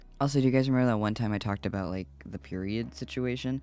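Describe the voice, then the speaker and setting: Over music in the background, a man speaks with lively intonation. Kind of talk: casual vlog chat. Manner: casual, rambling with fillers.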